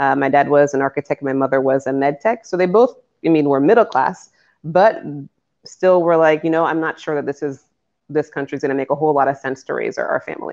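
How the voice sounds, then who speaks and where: Over a quiet background, a woman with an American accent talks at a very fast pace with a very deep, low pitch. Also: ordinary pitch variation. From Cambridge, Massachusetts (Boston area), US. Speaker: lawyer and entrepreneur. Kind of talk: podcast interview.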